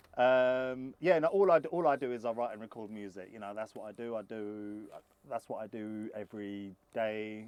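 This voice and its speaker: A man of medium pitch talks at a moderate pace in a London accent, with big swings in loudness. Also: ordinary pitch variation. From London, England. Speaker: singer-songwriter and producer. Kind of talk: interview. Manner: hesitant, many fillers and repeats.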